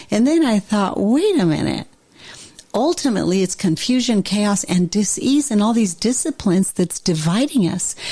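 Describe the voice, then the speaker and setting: With an animated tone, a woman speaks at a medium pitch with very wide pitch swings. Her pace is moderate and her loudness very even, over noticeable background noise. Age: 60s. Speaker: therapist and author, podcast host. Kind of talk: casual interview conversation.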